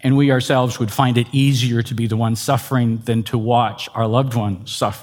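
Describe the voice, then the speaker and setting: With hardly any pauses, a man talks at a medium pitch in a monotone, flat intonation. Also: fairly quick pace. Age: 60s. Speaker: pastor and teacher. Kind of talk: lecture. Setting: stage with audience.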